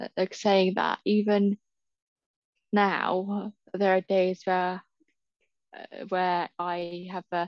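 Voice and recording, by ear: A woman speaks slowly at a fairly low pitch with monotone, flat intonation and long, frequent pauses, in a dry, close sound with no echo.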